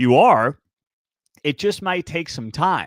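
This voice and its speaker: Talking at a fairly quick pace in an animated tone, a man is heard dry and close with no echo on a very clean recording with a silent background. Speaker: college sports show host. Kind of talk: solo sports commentary.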